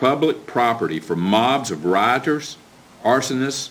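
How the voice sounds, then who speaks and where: A man talks at a moderate pace. His is a normal speaking voice of medium pitch. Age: 60s. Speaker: county commissioner. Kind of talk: public meeting speech, partly reading a prepared statement. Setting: county commission meeting. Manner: formal.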